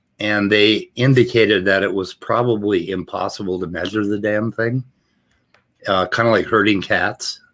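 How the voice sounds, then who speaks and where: On a very clean recording with a silent background, a man with an American accent uses an ordinary speaking voice, fairly even intonation and a moderate pace. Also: fairly low pitch for a man. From US Midwest, Minnesota Iron Range. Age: 60s. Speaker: recovering addict. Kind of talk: casual chat.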